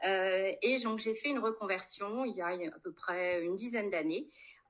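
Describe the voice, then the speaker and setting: This woman has a plain, everyday voice, medium pitch and ordinary pitch variation. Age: 40s. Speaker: politician, candidate. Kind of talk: interview. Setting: livestream.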